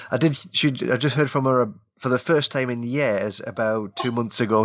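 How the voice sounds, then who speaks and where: In a Geordie accent, a man speaks at a medium pitch. His pitch varies in an ordinary way. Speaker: show host, interviewer.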